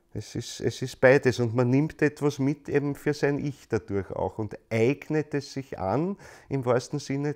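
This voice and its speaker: A man speaks at a fairly slow pace with a fairly high pitch and ordinary pitch variation. The recording is very clean, with a silent background. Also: hardly any pauses. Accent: Viennese. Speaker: lecturer on anthroposophy, stage actor. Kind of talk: lecture. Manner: repetitive, halting restarts.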